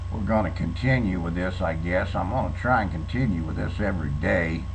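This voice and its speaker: A man with a Southern US accent speaks in a very deep, low pitch with a relaxed tone and ordinary pitch variation. Audible room echo and noticeable background noise surround him. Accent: southern drawl. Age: 60s. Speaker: vlogger. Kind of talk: casual monologue. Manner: relaxed, hesitant.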